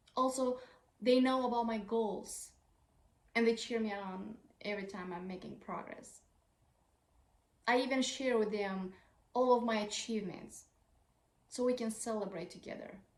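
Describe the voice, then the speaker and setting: A woman's fairly high voice with a non-native accent, fairly even intonation, a moderate pace and long, frequent pauses. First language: not English. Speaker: parenting advice creator. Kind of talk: tutorial.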